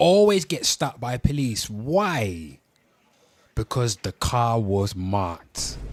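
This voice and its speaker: The sound is dry and close with no echo as a man speaks at a medium pitch. His pace is very slow, and his pitch swings very widely. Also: big swings in loudness. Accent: Birmingham. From Birmingham, England. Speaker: livestream host. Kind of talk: casual live stream talk.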